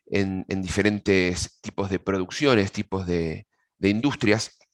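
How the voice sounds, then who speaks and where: With an Argentine accent, a man speaks at a fairly slow pace in a dry, close sound with no echo. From Argentina. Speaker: agronomist giving a technical pest-control webinar. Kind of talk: webinar presentation. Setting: video call webinar. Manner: hesitant, frequent fillers and repetitions.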